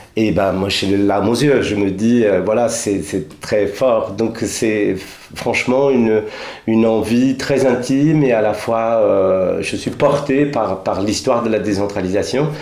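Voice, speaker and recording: A man at a medium pitch, speaking at a very slow pace, with noticeable background noise. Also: ordinary pitch variation. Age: 50s. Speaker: theatre director. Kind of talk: radio interview.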